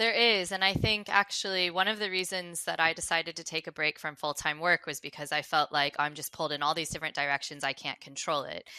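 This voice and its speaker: A woman with an American accent speaks at a very fast pace with hardly any pauses, in a fairly low pitch. Her tone is bright and sharp, and the sound is dry and close with no echo. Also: ordinary pitch variation. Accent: American accent still noticeable. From United States. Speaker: customer success advisor. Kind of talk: podcast interview.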